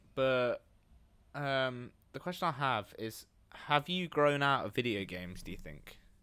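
A man with an English accent, bright and sharp in tone, at a fairly slow pace with long, frequent pauses, lively intonation and big swings in loudness, on a very clean recording with a silent background. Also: medium pitch for a man. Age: 20s. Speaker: podcast co-host, university student. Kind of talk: casual chat.

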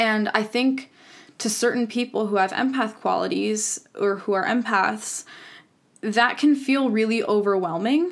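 A woman speaks fairly slowly in a fairly high pitch with ordinary pitch variation and very even loudness, an ordinary speaking voice on a very clean recording with a silent background. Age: 20s. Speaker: podcast host. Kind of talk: personal monologue. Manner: casual.

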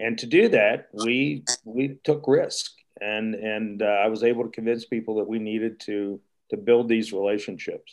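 A man's normal speaking voice with an American accent, medium pitch, fairly even intonation and a moderate pace, over a quiet background. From Wheeling, West Virginia. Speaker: retired resort executive. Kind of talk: panel discussion.

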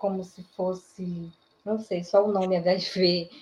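Speaking at a very slow pace, a woman with a medium pitch uses fairly even intonation in a dark, mellow, somewhat breathy tone. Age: 40s. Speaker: HIV activist. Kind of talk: online panel discussion.

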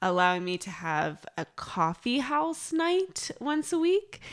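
A woman with an American accent speaks very slowly in a very clean recording with a silent background. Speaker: podcast co-host. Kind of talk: casual chat.

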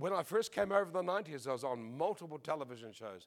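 A man with an Australian accent talks at a fairly quick pace, his fairly high pitch making very wide swings. The recording is very clean, with a silent background. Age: 70s. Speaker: preacher. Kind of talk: sermon.

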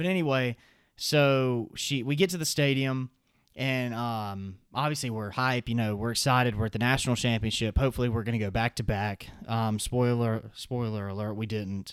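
Heard in a very clean recording with a silent background, the voice moves at a moderate pace with ordinary pitch variation. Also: man, medium pitch for a man. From US South. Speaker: college student and podcast co-host. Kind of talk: casual chat.

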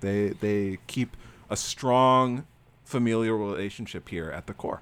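A man with an American accent speaks at a fairly slow pace and fairly low pitch, in an ordinary speaking voice. Pitch variation is ordinary, and the recording is very clean with a silent background. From Florida. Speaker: podcast host. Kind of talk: casual chat.

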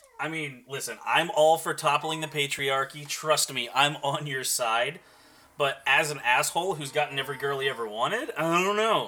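With a normal speaking voice, this man sounds fairly high-pitched, keeps a moderate pace, and varies his pitch in an ordinary way. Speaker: podcast co-host. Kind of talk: casual chat.

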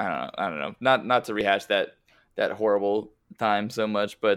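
A plain, everyday voice: a man with an American accent, fairly low in pitch, at a moderate pace on a very clean recording with a silent background. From Westchester, New York. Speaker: soccer podcast host. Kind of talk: casual chat.

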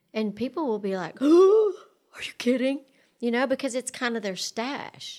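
A woman's high voice with very wide pitch swings at a moderate pace, in a very clean recording with a silent background. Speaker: relationship and sex therapist. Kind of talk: casual podcast interview. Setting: in-person studio conversation.

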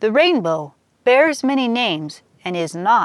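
In an ordinary speaking voice, a woman talks at a fairly slow pace with lively intonation. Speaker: poet and fiction podcaster. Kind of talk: spoken-word poetry reading, rhymed verse read aloud. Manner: measured, lyrical, rhythmic.

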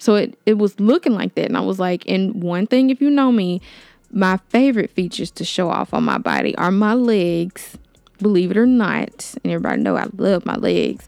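A woman's medium-pitched voice at a moderate pace, with ordinary pitch variation and a dry, close sound free of echo. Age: 20s. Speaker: podcast host. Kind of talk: casual monologue. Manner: halting.

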